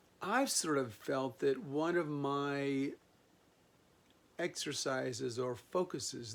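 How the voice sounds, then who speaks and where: Very slow speech from a man, fairly high in pitch, with ordinary pitch variation. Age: 60s. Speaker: video blogger. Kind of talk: reflective monologue. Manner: meandering, many fillers.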